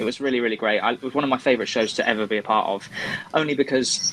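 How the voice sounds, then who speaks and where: In a West Country accent, a man speaks at a fairly quick pace and medium pitch. Background noise is noticeable. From West Country, England. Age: 30s. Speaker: stage actor. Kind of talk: interview.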